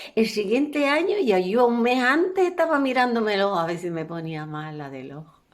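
A woman speaks in a rural Canarian accent at a moderate pace. Her tone is animated, with very wide pitch swings. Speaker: professional storyteller. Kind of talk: storytelling, elder telling a life story from childhood. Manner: warm, homely, narrating with diminutives and a folksy tone; animated, with repetitions and a few hesitations.

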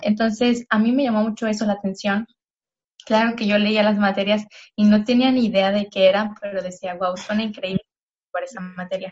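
Somewhat breathy, a woman talks in a flat monotone. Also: medium pitch for a woman, moderate pace. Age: 20s. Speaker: environmental engineering graduate and eco-product entrepreneur. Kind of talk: interview.

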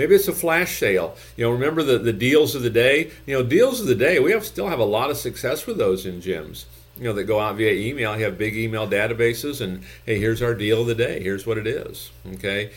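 A man's somewhat breathy voice moves at a fairly quick pace, his intonation lively. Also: medium pitch for a man. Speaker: gym business consultant. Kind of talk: infomercial-style sales pitch with calls to action. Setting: YouTube video channel, solo talk to camera. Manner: repeats phrases for emphasis, pitchy and persuasive.

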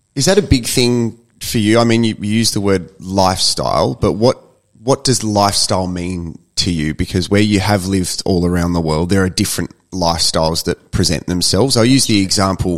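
A man with a very deep, low voice talks at a moderate pace with hardly any pauses and ordinary pitch variation. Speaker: podcast host. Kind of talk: casual interview.

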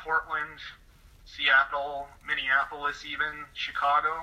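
With an American accent, a man speaks at a very slow pace in a monotone, flat delivery over noticeable background noise. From California, near Sacramento. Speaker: political commentator. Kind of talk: interview. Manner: soft-spoken. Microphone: too quiet.

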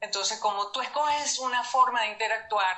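The intonation is lively, with vocal fry. Audible room echo surrounds the voice. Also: woman. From Venezuela. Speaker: numerology coach. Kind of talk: interview.

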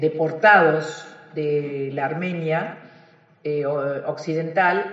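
A woman with a fairly low pitch, a very slow pace and fairly even intonation, amid noticeable background noise and audible room echo. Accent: Rioplatense. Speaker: accountant and lyrical singer. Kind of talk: interview conversation.

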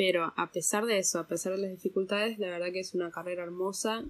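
A woman's medium-pitched voice, an ordinary speaking voice, at a fairly quick pace with fairly even intonation. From Argentina, raised partly abroad (diplomat's daughter). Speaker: translator. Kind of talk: interview.

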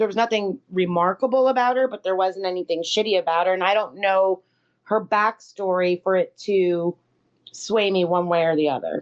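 A woman speaks in a plain, everyday voice at a medium pitch and a moderate pace. Her loudness stays very even, with ordinary pitch variation. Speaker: podcast co-host. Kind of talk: casual chat.

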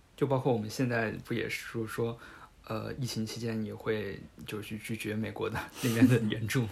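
A man with a medium pitch talks at a moderate pace in fairly even intonation, with audible room echo. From Hubei. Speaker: podcast host. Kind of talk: casual chat.

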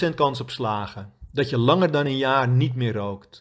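At a fairly slow pace, a man talks in a medium pitch. His voice is somewhat breathy. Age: 50s. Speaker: quit-smoking coach. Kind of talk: scripted narration.

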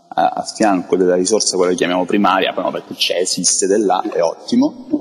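A man's voice over noticeable background noise. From Crotone, Calabria, Italy. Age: 40s. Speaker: international tourism expert. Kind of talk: interview. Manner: halting, with frequent repetitions.

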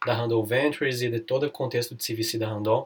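A man talks at a fairly quick pace in a somewhat breathy, medium-pitched voice with monotone, flat intonation. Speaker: lawyer and podcast host. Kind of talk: interview. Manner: relaxed, casual.

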